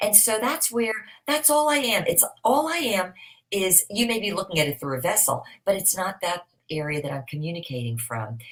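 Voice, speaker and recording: Using vocal fry, a woman talks at a moderate pace and medium pitch, and her pitch swings very widely. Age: 60s. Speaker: motivational speaker. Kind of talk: interview.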